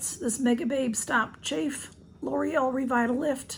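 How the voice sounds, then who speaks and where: A hoarse, raspy put-on character voice at a fairly slow pace, with ordinary pitch variation and light background noise. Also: woman, high pitch for a woman. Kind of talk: product haul video.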